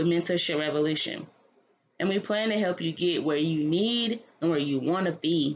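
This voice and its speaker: A woman's fairly low pitch at a moderate pace, in a plain, everyday voice with ordinary pitch variation. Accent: American. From North Carolina. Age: 20s. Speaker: mentorship entrepreneur. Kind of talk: reading a written text aloud.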